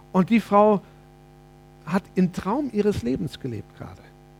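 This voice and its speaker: A man's moderately paced speech comes through noticeable background noise. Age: 50s. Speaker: preacher. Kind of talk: sermon.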